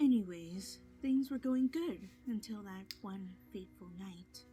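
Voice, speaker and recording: Over music in the background, a female-sounding cartoonish character voice at medium pitch speaks at a fairly slow pace. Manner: plainspoken.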